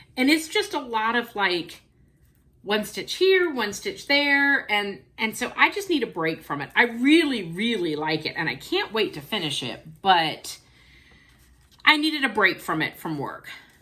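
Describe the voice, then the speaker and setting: A woman speaks at a fairly slow pace in a fairly high pitch, her tone bright and sharp. Her pitch swings very widely, and the recording is very clean with a silent background. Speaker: cross stitch video blogger. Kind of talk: casual show-and-tell vlog. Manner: chatty with frequent fillers.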